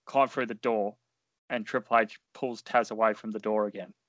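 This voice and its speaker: A man with a plain, everyday voice, fairly even intonation and a moderate pace. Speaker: podcast co-host and fantasy wrestling booker. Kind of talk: casual chat and wrestling commentary-style play-by-play narration.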